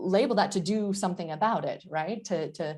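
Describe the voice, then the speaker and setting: At a moderate pace, a woman with an American accent speaks in a fairly low pitch with ordinary pitch variation. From United States. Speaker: professor. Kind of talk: lecture. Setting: online session. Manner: halting, many fillers.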